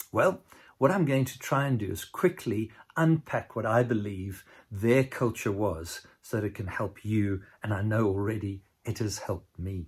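A somewhat breathy man at a fairly low pitch and moderate pace. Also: ordinary pitch variation. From South Africa, Cape Town. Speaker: pastor. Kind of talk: sermon. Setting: recorded remotely for a distant church.

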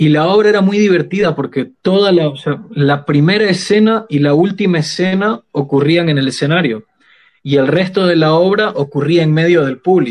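With very even loudness and ordinary pitch variation, a man speaks at a moderate pace and high pitch. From Bolivia, Sucre. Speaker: poet and theatre actor. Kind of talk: casual chat.

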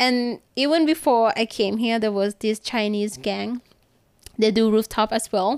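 In a Thai accent, a woman speaks at a fairly high pitch with very even loudness, the sound dry and close with no echo. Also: ordinary pitch variation, fairly slow pace. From Thailand, Bangkok. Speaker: rooftop climber and photographer. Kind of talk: casual interview chat.

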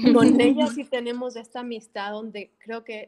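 At a fairly slow pace, a woman with a normal speaking voice talks at a fairly high pitch with fairly even intonation. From Bolivia. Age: 30s. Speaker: sustainability activist and eco-entrepreneur. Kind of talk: casual interview.

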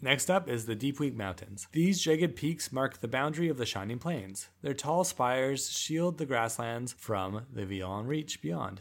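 Using an ordinary speaking voice with a Canadian accent, the speaker talks at a moderate pace with lively intonation and hardly any pauses, on a very clean recording with a silent background. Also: man, medium pitch for a man. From Canada, Vancouver Island. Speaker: podcast host. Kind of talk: casual chat mixed with reading lore aloud.

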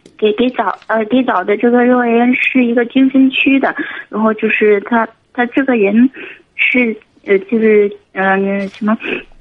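Speaking fairly slowly, a woman keeps her fairly high voice in fairly even intonation. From Guangxi, China. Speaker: caller, single mother running a lottery shop. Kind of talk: phone-in call. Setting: phone call.

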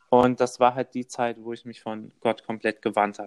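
The sound is dry and close with no echo, and the background is quiet. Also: man. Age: 20s. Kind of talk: casual interview.

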